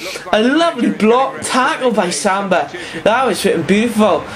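Noticeable background noise beneath fairly slow speech. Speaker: gaming YouTuber. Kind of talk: video game commentary, casual play-by-play over gameplay; live-style sports commentary of a FIFA match. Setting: home, playing at a desk. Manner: animated, excitable on goals, rising pitch on 'It's in!'; hesitant, filler-heavy with many ums and uhs.

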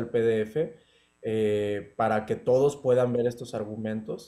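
Against a quiet background, a man speaks at medium pitch with a dark, mellow tone and a monotone, flat intonation. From Mexico. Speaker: law student; interviewee. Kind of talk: interview. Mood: calm, serious. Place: home room. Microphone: video call.

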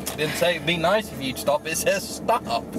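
A man talks at a moderate pace in a dry sound with no echo, with noticeable background noise present. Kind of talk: casual car chat, storytelling. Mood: amused, teasing. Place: car. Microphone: camera far.

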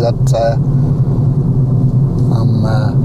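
Amid loud background noise, a man speaks at a very slow pace. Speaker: wildlife photographer. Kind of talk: casual vlog talk to camera. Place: car. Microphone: phone near.

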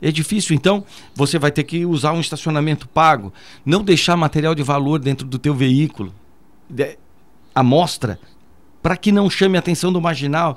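With long, frequent pauses, a man speaks at a moderate pace and a fairly high pitch, using ordinary pitch variation. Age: 50s. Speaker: military police commander. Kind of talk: radio interview. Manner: formal.

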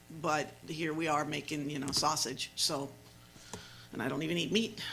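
Through noticeable background noise and audible room echo, a man with an American accent talks at a moderate pace in a fairly high pitch with ordinary pitch variation. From California Central Valley, Turlock. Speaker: council member chairing meeting. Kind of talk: council meeting discussion.

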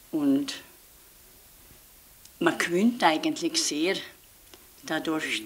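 A woman speaks at a very slow pace with long, frequent pauses against light background noise. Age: 70s. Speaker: nun. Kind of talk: interview answer. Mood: calm, warm, reflective.

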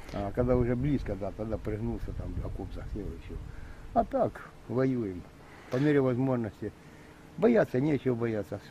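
A man's dark, mellow tone at a moderate pace, broken by long, frequent pauses. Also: medium pitch for a man, ordinary pitch variation. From eastern Ukraine, Donbas (Lysychansk). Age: 60s. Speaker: militia fighter. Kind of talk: interview. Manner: emotional.

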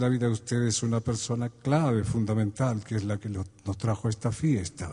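Over a quiet background, a man speaks at a medium pitch and a moderate pace. His voice is somewhat breathy, with a warm, dark, mellow tone. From Argentina. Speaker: folk singer-songwriter (troubadour). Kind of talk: live concert monologue with poems and anecdotes. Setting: live concert before an audience, Quito. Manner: reflective, warm, humorous storytelling. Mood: warm, humorous, calm. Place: stage. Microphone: studio mic.

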